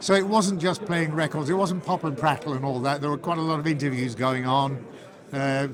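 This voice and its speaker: Fairly quick speech with ordinary pitch variation amid noticeable background noise. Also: man, fairly high pitch for a man. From northern England, Manchester area. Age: 70s. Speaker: retired radio presenter. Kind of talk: interview. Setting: civic reception. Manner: halting, with repetitions.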